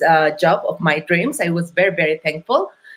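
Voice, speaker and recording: A woman speaks with a Mexican accent. Her pitch is medium and her pace moderate. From Mexico. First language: Spanish. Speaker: entrepreneur. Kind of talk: interview. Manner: halting.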